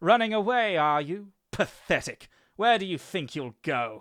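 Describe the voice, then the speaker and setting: A man puts on a character voice pitched high. He talks at a moderate pace. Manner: amused, taunting.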